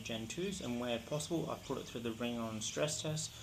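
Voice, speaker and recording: A man with an Australian accent talks at a very fast pace and medium pitch, with ordinary pitch variation. There is noticeable background noise and audible room echo. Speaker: tech reviewer. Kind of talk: product review vlog. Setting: recorded on camera glasses.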